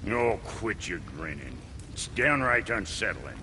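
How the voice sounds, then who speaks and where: Amid loud background noise, a man uses a put-on character voice at a medium pitch and a fairly slow pace. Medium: short film. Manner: gruff, sarcastic.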